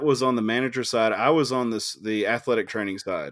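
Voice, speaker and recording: In a very clean recording with a silent background, a man talks in an unremarkable speaking voice at a medium pitch. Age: 30s. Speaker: podcast host. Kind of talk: casual chat.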